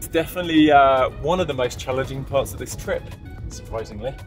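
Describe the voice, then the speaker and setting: Faint music plays in the background. Over it, a man talks with fairly even intonation. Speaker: travel vlogger. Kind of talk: casual vlog chat. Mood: cheerful, mildly frustrated. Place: car. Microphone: phone near.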